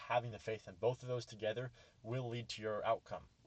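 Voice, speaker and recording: This man talks at a very fast pace. His voice sits at a medium pitch. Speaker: trading educator, YouTuber. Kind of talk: lecture. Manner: halting, self-correcting.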